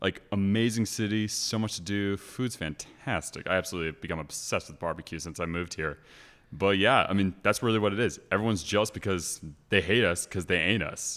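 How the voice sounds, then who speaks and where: A man with a normal speaking voice talks in an American accent at a fairly quick pace. His pitch is fairly low with ordinary variation, and the recording is very clean with a silent background. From California, Los Angeles area. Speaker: grad student. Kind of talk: casual chat.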